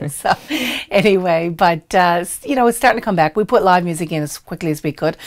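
Against a quiet background, a woman speaks at a fairly quick pace in a fairly low pitch with ordinary pitch variation. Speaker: restaurant owner. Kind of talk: interview answer. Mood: warm, friendly, smiling at times. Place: studio.

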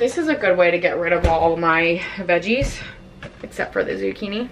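With lively intonation and a fairly low pitch, a woman speaks at a moderate pace against faint background noise.

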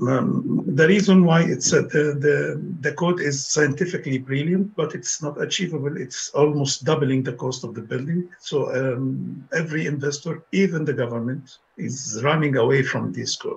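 With hardly any pauses, a man talks at a moderate pace in a fairly high voice with vocal fry. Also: ordinary pitch variation. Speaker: architecture professor. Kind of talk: presentation.

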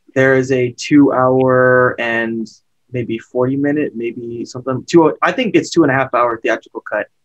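In a quiet background, a man speaks at a fairly slow pace with fairly even intonation. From California. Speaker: horror film podcaster. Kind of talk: casual chat. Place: home room. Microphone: webcam.

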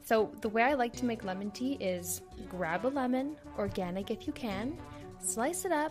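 Background music beneath a woman's moderately paced speech. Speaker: podcast host. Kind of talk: casual comedic podcast narration.

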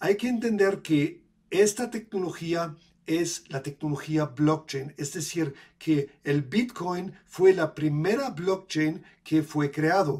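Speaking very slowly against a quiet background, a man with a German accent has a high pitch and ordinary pitch variation. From Germany. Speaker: crypto educator and video creator. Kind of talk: tutorial. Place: home room. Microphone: webcam.

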